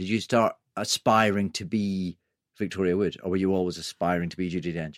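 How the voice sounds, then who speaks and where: In a very clean recording with a silent background, a man with an English accent speaks at a fairly quick pace, the sound dry and close with no echo. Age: 40s. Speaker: podcast host. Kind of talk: interview. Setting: studio.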